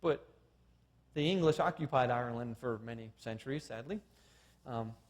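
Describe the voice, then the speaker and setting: A man talks with an unremarkable speaking voice. His pitch is medium with ordinary variation. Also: moderate pace. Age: 40s. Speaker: creationist science lecturer. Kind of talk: seminar lecture.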